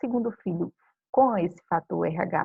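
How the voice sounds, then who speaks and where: A woman's intonation stays lively as she talks fairly slowly. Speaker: biology teacher. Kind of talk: recorded lecture. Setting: home video recording.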